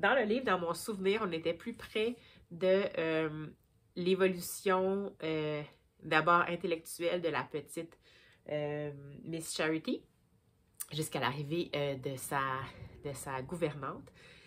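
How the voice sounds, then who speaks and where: Very slowly and with long, frequent pauses, a woman speaks at a fairly low pitch with ordinary pitch variation. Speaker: book vlogger. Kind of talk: casual vlog book review. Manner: hesitant, many fillers.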